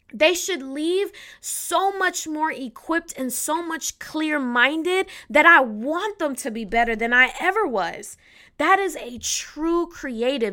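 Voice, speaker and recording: On a very clean recording with a silent background, a woman uses a raised, projected voice with an animated, bright, sharp tone and a high pitch, at a fairly slow pace. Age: 30s. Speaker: podcast host. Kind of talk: solo podcast talk.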